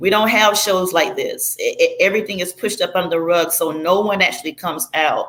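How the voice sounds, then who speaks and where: This woman speaks with a strong Southern US accent. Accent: heavy Southern US. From Florida, US South. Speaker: former church member telling her story. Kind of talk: testimony.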